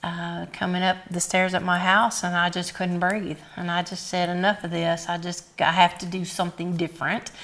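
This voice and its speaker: Over music in the background, a woman with a fairly low pitch talks at a moderate pace. Her intonation is monotone and flat, with hardly any pauses. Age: 60s. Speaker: weight-loss program founder. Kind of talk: TV interview. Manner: halting.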